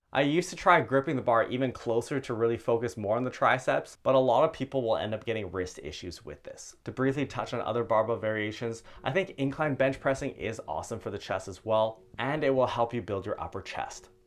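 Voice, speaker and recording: Barely pausing, a man speaks at a fairly quick pace with ordinary pitch variation. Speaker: fitness coach. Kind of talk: tutorial. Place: home room. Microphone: lapel.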